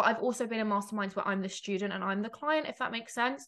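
A woman talks with an animated, bright, sharp tone and ordinary pitch variation. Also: quiet background. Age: 20s. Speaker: business coach and podcast host. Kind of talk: solo podcast monologue.

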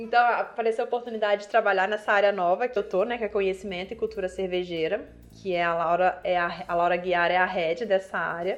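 Against a quiet background, a woman talks at a fairly quick pace with hardly any pauses. Her pitch is medium and her intonation fairly even. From Minas Gerais, Brazil (Viçosa). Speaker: beer sommelier. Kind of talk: casual interview.

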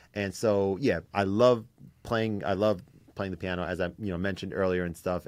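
Over a quiet background, a man with an ordinary speaking voice talks at a fairly low pitch and a moderate pace. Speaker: piano content creator interviewing musicians. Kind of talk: casual interview chat.

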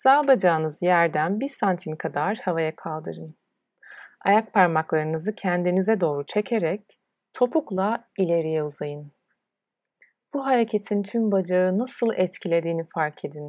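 A woman with a normal speaking voice, fairly low in pitch, talks at a fairly slow pace with lively intonation in a very clean recording with a silent background and a dry, close sound with no echo. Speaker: yoga teacher. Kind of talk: guided meditation. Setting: solo recording. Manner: slow, calm, soothing; soft-spoken, with long pauses.

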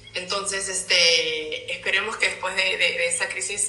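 Moderate-paced female speech amid noticeable background noise and audible room echo. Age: 30s. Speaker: fashion designer and content creator. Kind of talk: casual interview chat. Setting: video call live stream, away from home city.

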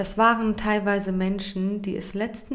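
A woman at a medium pitch and moderate pace, with audible room echo. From Germany. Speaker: podcaster and influencer. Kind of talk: personal testimony.

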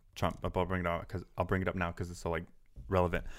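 In an American accent, the speaker talks at a very fast pace on a very clean recording with a silent background. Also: man. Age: 20s. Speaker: social media creator. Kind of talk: casual chat.

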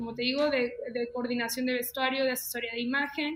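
A woman speaks in a raised, projected voice at a high pitch. Her intonation is monotone and flat. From León, Guanajuato, Mexico. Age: 20s. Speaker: fashion designer and stylist. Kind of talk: casual interview chat.

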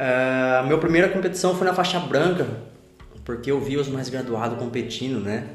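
There is noticeable background noise and audible room echo. Through it, a man speaks at a medium pitch. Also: ordinary pitch variation, moderate pace. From São Paulo state interior, Brazil. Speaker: jiu-jitsu student. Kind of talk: casual interview.

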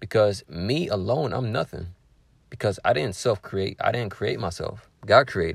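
A somewhat breathy man talks at a moderate pace with a fairly low pitch and lively intonation. The recording is very clean, with a silent background. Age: 20s. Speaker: religious podcaster and author. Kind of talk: solo reflective monologue.

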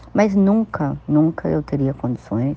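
A woman's voice at a very slow pace, with lively intonation. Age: 50s. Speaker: spiritual practitioner. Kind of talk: personal testimony.

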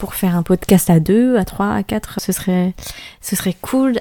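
A woman speaks at a fairly slow pace, her pitch medium. Her tone is dark and mellow. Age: 20s. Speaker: eyelash extension technician. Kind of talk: casual solo podcast monologue. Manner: hesitant, many fillers.

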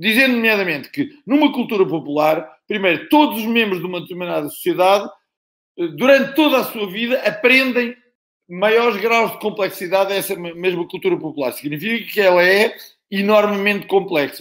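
This man speaks at a high pitch in a European Portuguese accent. His intonation is lively and his pace moderate. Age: old. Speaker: professor. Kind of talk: panel discussion.

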